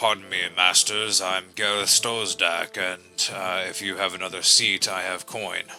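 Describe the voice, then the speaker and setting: A man puts on a character voice pitched very deep and low, with faint music playing in the background. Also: moderate pace. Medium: actual play. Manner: courteous, smooth.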